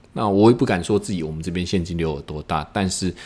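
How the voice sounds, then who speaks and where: A man with a Taiwanese accent speaks in a very deep, low pitch. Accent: Taiwanese Mandarin. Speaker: podcast host, e-commerce business owner. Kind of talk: casual monologue. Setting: office after work.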